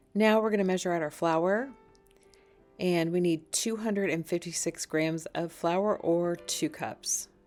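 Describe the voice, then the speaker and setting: Music plays behind a woman speaking at a fairly slow pace with very even loudness. Her pitch is fairly low, with ordinary variation. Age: 50s. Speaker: cooking vlogger. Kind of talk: tutorial. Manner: casual.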